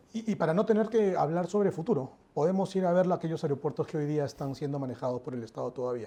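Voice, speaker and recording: Speaking very fast, a man uses lively intonation, his fairly high voice carrying a dark, mellow tone. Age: 40s. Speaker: airport company executive. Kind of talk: interview.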